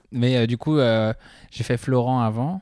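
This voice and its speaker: The recording of this man is very clean, with a silent background. His sound is dry and close, without echo. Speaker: stand-up comedy student. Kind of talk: casual chat. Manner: soft-spoken.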